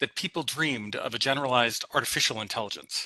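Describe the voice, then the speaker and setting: This man has a medium pitch and speaks with a slight Saskatchewan accent. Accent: slight Saskatchewan Canadian. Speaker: PhD student presenter, data scientist. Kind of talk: academic presentation.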